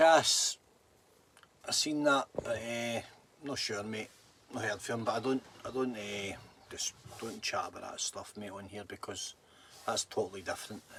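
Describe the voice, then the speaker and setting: A man with a Scottish accent speaks at a moderate pace over noticeable background noise, with big swings in loudness and long, frequent pauses. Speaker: livestreamer. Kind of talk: casual livestream chat.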